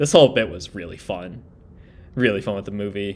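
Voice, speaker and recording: A man's voice, fairly low in pitch, at a very fast pace with ordinary pitch variation. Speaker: anime reaction youtuber. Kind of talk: live reaction and analysis. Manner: animated, loud.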